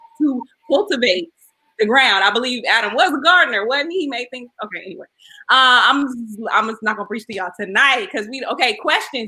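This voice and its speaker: With lively intonation and big swings in loudness, a woman delivers a raised, projected voice at high pitch, bright and sharp in tone and fairly quick in pace. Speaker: talk show host. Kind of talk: live panel discussion. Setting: livestream.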